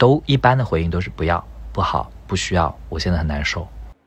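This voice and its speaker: Very wide pitch swings run through a man's very deep, low voice. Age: 30s. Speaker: tech company employee, podcast guest. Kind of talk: casual chat.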